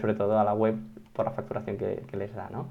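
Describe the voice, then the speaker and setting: A man speaks with a fairly low pitch. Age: 20s. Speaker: SEO consultant. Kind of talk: interview.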